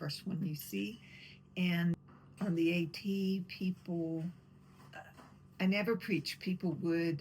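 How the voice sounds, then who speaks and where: A woman speaks in a fairly low, somewhat breathy voice with fairly even intonation. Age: 60s. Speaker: long-distance hiker. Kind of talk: interview testimony.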